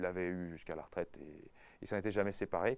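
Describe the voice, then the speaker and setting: Over a very clean recording with a silent background, a man speaks at a moderate pace. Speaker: university lecturer. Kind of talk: casual talk to teachers. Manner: hesitant, many fillers.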